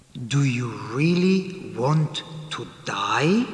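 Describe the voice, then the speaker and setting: A cartoonish character voice rings out with a clear echo. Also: man, fairly high pitch for a man. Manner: calm, questioning.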